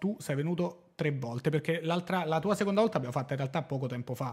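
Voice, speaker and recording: A man with a fairly high pitch for a man talks at a very fast pace. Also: quiet background. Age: 30s. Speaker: podcast host. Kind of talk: casual chat. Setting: studio. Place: studio. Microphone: studio mic.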